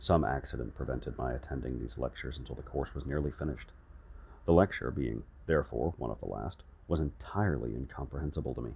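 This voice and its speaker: With vocal fry and a very deep, low pitch, a man talks at a very fast pace with ordinary pitch variation. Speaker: ASMR audiobook reader. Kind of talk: sleep story audiobook reading.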